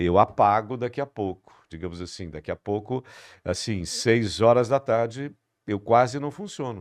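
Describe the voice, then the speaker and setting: At a moderate pace, a plain, everyday voice moves with ordinary pitch variation, the sound dry and close with no echo. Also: man, medium pitch for a man. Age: 60s. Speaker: podcast host. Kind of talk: interview podcast.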